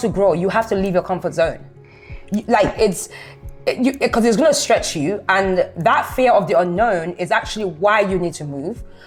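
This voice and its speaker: At a moderate pace, a woman speaks at medium pitch with lively intonation over music in the background. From London. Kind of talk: casual conversation.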